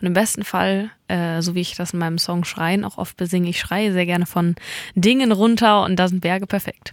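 A woman's medium-pitched voice, an ordinary speaking voice, at a moderate pace with fairly even intonation, recorded very cleanly against a silent background. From mountain region. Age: 20s. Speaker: singer-songwriter. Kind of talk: interview. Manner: laughs often.

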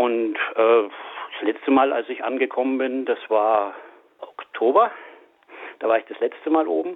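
The man's pitch is medium, with ordinary variation, and his pace is moderate. He stops often for long pauses. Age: 60s. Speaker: mechanical engineer and animal welfare volunteer. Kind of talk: interview. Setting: phone call. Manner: halting.

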